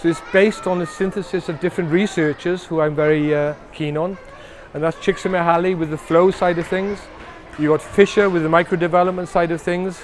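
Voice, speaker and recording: Monotone, flat intonation from a high-pitched man at a fairly quick pace, with noticeable background noise. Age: 60s. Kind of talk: interview. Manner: repetitive, hesitant restarts.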